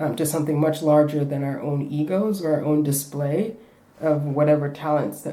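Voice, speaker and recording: A woman's very deep, low voice with a dark, mellow tone, ordinary pitch variation and a moderate pace, with audible room echo. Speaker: refugee artist and spoken word poet. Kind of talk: interview. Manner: halting.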